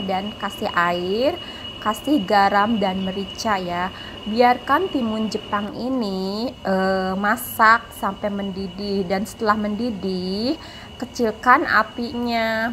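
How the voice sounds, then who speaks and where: A woman's very slow delivery with ordinary pitch variation over light background noise. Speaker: home cook vlogger. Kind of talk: cooking tutorial narration. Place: kitchen. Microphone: phone near.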